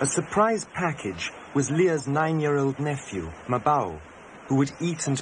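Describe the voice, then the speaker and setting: At a moderate pace, a man with a fairly high pitch and very wide pitch swings speaks over noticeable background noise. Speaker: documentary filmmaker and narrator. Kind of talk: 1988 documentary narration, scripted voice-over. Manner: measured, reflective, wry.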